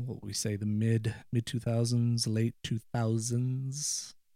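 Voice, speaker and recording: Speaking at a very slow pace, a man with an American accent has a dark, mellow tone, medium pitch and fairly even intonation on a very clean recording with a silent background. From Ireland. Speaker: guest, widower sharing personal story. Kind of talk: casual interview conversation. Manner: halting, frequent repetitions and fillers.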